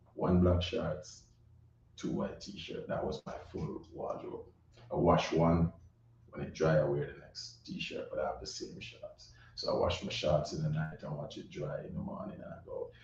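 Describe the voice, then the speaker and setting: A man at a moderate pace, with big swings in loudness and audible room echo. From Jamaica, Saint Catherine and Kingston. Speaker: recording artist. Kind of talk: interview.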